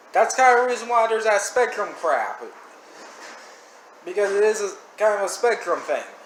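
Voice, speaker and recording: At a moderate pace, a man talks in an animated tone over noticeable background noise. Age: 20s. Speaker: reaction video creator. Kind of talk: casual commentary. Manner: stuttering; rambling, animated.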